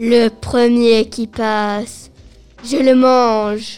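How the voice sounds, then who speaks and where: Faint music plays behind a woman doing a put-on character voice at a fairly high pitch. She speaks at a very slow pace with monotone, flat intonation. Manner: sinister, cackling.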